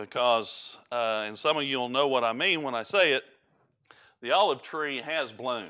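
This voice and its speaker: A man's medium-pitched voice with a strong Southern US accent, bright and sharp in tone, at a moderate pace with ordinary pitch variation, on a very clean recording with a silent background. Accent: strong rural Southern. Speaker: preacher. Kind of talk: sermon. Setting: church. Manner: halting, many fillers.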